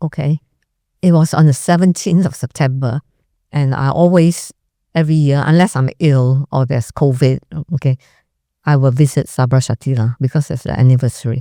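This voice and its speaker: The delivery moves at a fairly quick pace. Long pauses come often. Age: 60s. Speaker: doctor. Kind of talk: interview.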